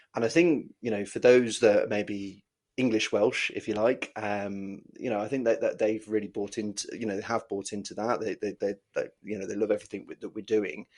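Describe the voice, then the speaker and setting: With an English accent, a man with a fairly low voice talks at a moderate pace with fairly even intonation and hardly any pauses. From Wales. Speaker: dodgeball team coach. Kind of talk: podcast interview. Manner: halting, many fillers and repetitions.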